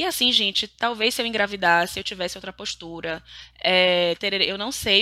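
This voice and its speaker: The tone is bright and sharp, with ordinary pitch variation. Delivery comes at a fairly quick pace. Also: woman. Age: 30s. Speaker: podcaster. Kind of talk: solo monologue podcast.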